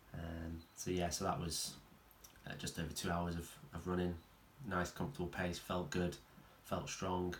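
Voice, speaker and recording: A man speaks with a very deep, low pitch and a somewhat breathy quality. His intonation stays fairly even at a moderate pace, broken by long, frequent pauses. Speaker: running coach and strength trainer. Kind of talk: casual talk to camera. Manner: monotone.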